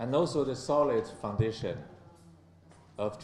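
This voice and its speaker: A man speaks at a fairly slow pace with a Chinese accent and ordinary pitch variation. Audible room echo is present in the recording. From China. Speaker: ambassador. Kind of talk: formal speech. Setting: conference with audience.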